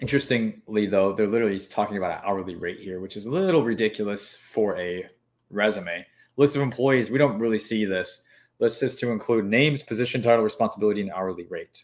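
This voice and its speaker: This man talks at a very fast pace in a fairly low pitch, with ordinary pitch variation. The recording is very clean, with a silent background. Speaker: government contracting consultant. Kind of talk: live stream tutorial. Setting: live stream. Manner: fast talker; animated, casual.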